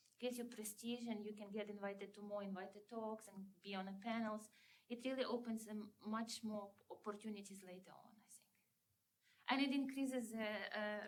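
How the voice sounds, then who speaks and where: A somewhat breathy woman talks at a fairly quick pace with monotone, flat intonation and big swings in loudness. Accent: non-native. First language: not English. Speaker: physics professor. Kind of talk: panel discussion.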